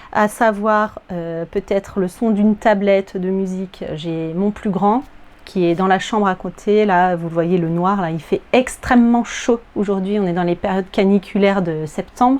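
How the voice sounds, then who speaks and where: Over noticeable background noise, a woman speaks at a medium pitch. Her pace is fairly slow and her intonation fairly even. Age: 40s. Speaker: sewing vlogger, primary school teacher. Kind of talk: casual vlog chat. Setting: at home, in her apartment. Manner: hesitant, many filler words.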